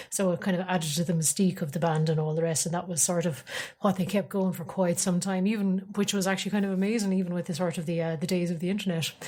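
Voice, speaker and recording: With an Irish accent, a woman speaks at a very fast pace with hardly any pauses. Her voice is somewhat breathy and fairly low, the intonation fairly even. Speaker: podcast host. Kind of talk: casual chat. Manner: hesitant, many fillers.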